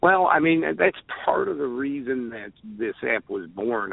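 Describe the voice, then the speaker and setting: Talking at a fairly slow pace, a man speaks with a Chicago accent. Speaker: truck driver and app developer. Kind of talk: phone interview. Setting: phone call.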